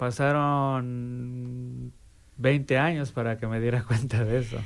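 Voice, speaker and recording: A man speaks at a very slow pace, his medium-pitched voice carrying fairly even intonation. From Mexico. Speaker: recovering alcoholic. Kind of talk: testimony.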